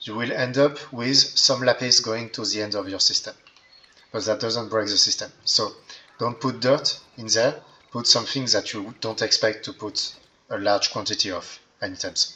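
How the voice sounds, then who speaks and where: With noticeable background noise, a man with a non-native accent speaks at a fairly slow pace, his loudness swinging a lot. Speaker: Minecraft redstone tutorial creator. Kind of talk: game tutorial narration. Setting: low-quality microphone.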